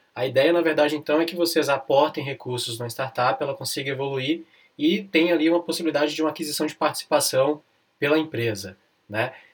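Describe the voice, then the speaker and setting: Talking at a very fast pace, a man with fairly high pitch shows ordinary pitch variation. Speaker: lawyer and podcast host. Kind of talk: interview. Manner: relaxed, casual.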